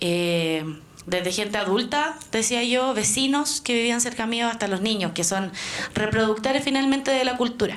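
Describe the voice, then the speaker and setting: With audible room echo, a woman talks in a fairly high pitch with ordinary pitch variation. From Chile, Santiago. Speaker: Mapuche activist and student. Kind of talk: talk to an audience.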